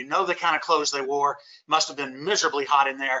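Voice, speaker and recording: A man speaking very fast in a Louisiana accent. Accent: Southern US (Louisiana). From US South, Shreveport, Louisiana. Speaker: lawyer and constitution teacher. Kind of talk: lecture. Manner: emphatic.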